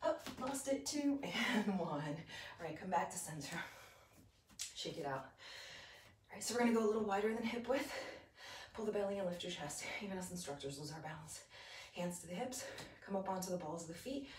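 Over light background noise and with audible room echo, a woman speaks at a fairly quick pace in a somewhat breathy voice with very wide pitch swings. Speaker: fitness instructor. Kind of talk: guided yoga and Pilates class, calm step-by-step cueing with breath counts. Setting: home video workout class on a mat. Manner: rhythmic, steady, encouraging, counting down reps; friendly, upbeat, casual. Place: home room. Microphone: camera far.

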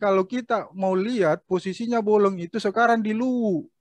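Against a quiet background, a man with a high pitch talks at a moderate pace with ordinary pitch variation, the sound dry with no echo. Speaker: local history speaker; speaker. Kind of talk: online panel discussion; interview answer. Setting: video call. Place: home room. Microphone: webcam.

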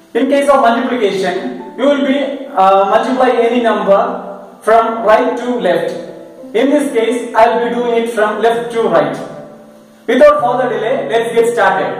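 A man with an extremely high pitch talks at a moderate pace with ordinary pitch variation. Strong room echo surrounds him, and faint music plays in the background. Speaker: maths teacher. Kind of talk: tutorial. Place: classroom.

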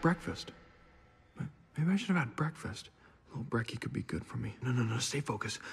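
A cartoonish character voice comes with a husky, rough edge and vocal fry. It moves at a fairly quick pace over faint background music. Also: man, medium pitch for a man, lively intonation.

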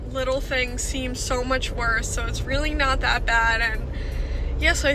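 Noticeable background noise surrounds a woman speaking at a fairly quick pace, with a dry sound and no echo. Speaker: vlogger. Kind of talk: casual vlog chat. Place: car. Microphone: phone near.

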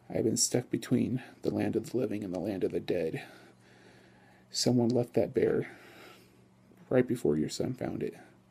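At a moderate pace, a man is talking. He pauses often and at length. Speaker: vlogger. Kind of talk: improvised ghost story telling; casual vlog. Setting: filmed late at night at home. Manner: halting, filler-heavy improvised storytelling; casual, friendly. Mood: low, suspenseful narration. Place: home room.

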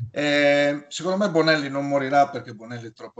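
The setting behind the voice is quiet. A man's delivery runs fairly quickly. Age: 50s. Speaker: YouTuber talking about comics. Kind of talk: casual chat. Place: home room. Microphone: video call.

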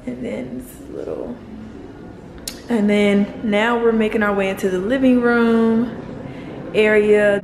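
Recorded with audible room echo, a woman talks at a moderate pace with a medium pitch and a slightly mellow tone.

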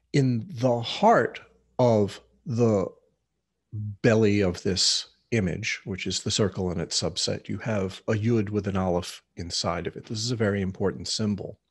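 This man has a plain, everyday voice, pitched fairly low, with ordinary pitch variation at a moderate pace over a quiet background. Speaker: teacher of mysticism. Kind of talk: lecture. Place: home room. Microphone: webcam.

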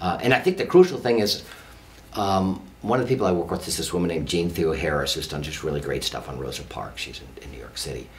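Talking at a very fast pace, a man with an American accent has a very deep, low pitch. His pitch swings very widely and his loudness swings a lot. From San Francisco, California. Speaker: history professor. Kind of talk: interview. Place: studio.

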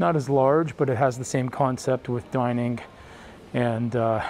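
A man speaks at a fairly slow pace with fairly even intonation, the sound dry with no echo and a little background noise. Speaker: cruise vlogger. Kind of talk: walking tour commentary. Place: hall. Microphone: phone near.

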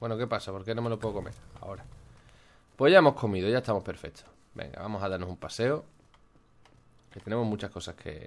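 A man's fairly low voice at a very fast pace, with ordinary pitch variation, big swings in loudness and long, frequent pauses. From Málaga, Andalusia, Spain. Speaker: gaming youtuber. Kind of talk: gameplay commentary. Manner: animated.

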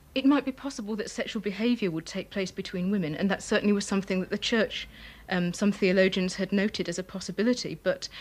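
A woman talks at a very fast pace. Her voice is somewhat breathy, with ordinary pitch variation. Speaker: interviewee. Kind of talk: interview answer. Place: home room.

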